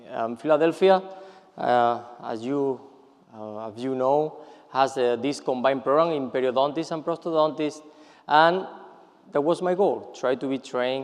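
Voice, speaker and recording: Long, frequent pauses break up the speech of a man with a Spanish accent and ordinary pitch variation. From Spain, Seville. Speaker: periodontist. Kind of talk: lecture. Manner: halting, many fillers and repetitions.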